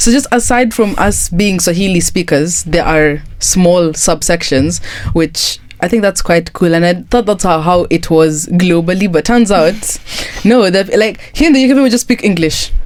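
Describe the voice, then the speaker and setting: A woman's medium-pitched voice with ordinary pitch variation, plus noticeable background noise. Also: moderate pace, very even loudness. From Kenya. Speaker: guest. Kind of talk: casual chat.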